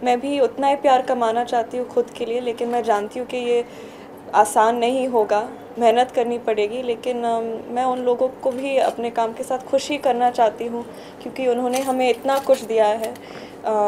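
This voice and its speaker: The delivery is monotone and flat, over light background noise. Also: woman, high pitch for a woman, fairly slow pace. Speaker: film actor at press event. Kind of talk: interview answer. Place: hall.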